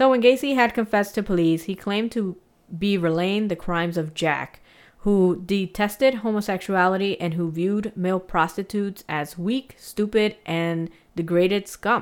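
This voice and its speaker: A woman's medium-pitched voice, an unremarkable speaking voice, at a moderate pace with ordinary pitch variation on a very clean recording with a silent background. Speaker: podcast host. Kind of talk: casual chat and true crime storytelling. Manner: casual, chatty, laughs often.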